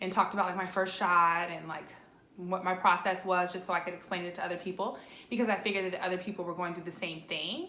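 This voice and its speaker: The delivery is very fast and monotone, with flat intonation. Room echo is audible. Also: woman. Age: 30s. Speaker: vlogger with lupus. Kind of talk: personal video update. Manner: casual, filler-heavy.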